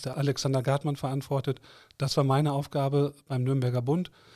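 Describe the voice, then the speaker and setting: On a very clean recording with a silent background, a man speaks in a flat monotone at a fairly quick pace, his medium-pitched voice dark, mellow and somewhat breathy. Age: 50s. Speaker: board member of a trade association. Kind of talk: interview. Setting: studio.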